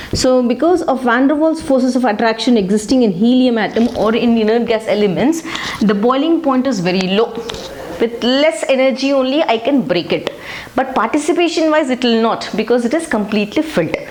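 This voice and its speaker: A woman speaks fairly quickly in a high voice with lively intonation and very even loudness. Noticeable background noise and audible room echo surround her. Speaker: chemistry teacher. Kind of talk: lecture.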